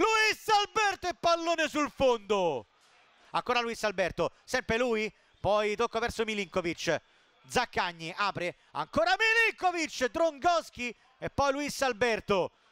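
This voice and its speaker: Raising and projecting his voice, a man speaks at an extremely high pitch with very wide pitch swings, in a dry, close sound with no echo and noticeable background noise. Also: fairly slow pace. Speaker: football commentator. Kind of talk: live football commentary. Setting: stadium, broadcast commentary. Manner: excitable, rising to shouts on goals.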